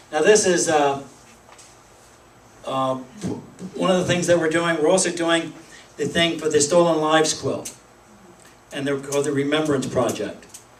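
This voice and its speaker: A man with an American accent speaks at a moderate pace in a fairly high pitch with fairly even intonation. Audible room echo and noticeable background noise are present. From Pennsylvania. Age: 60s. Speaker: political activist. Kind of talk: speech to a meeting. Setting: meeting room with audience. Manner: halting.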